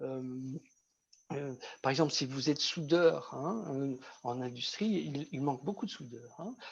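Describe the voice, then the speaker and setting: A man with a fairly high voice and ordinary pitch variation, at a fairly slow pace. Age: 60s. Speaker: vocational trainer. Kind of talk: online workshop talk.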